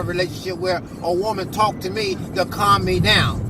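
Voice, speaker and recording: Someone talks at a fairly quick pace in a room with audible echo, and there is noticeable background noise. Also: man. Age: 50s. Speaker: husband sharing relationship advice. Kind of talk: casual advice talk.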